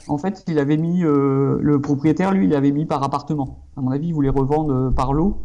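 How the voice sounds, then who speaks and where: Fairly high in pitch with a dark, mellow tone, a man talks at a moderate pace with very even loudness, fairly even intonation and hardly any pauses. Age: 30s. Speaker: architect and property investor. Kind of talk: casual interview. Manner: hesitant, many fillers.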